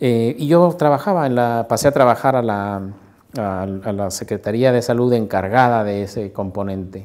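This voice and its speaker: The speaker is a man with ordinary pitch variation. He keeps a moderate pace. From Mexico, Morelia (Michoacán); Michoacán, Mexico. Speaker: sociologist and university researcher. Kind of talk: interview. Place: office. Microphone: lapel.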